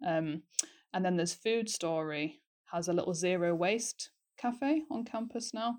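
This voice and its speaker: With a Yorkshire accent, a woman speaks at a fairly low pitch. Her pitch variation is ordinary. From North Yorkshire, England. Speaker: university student. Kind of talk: casual chat.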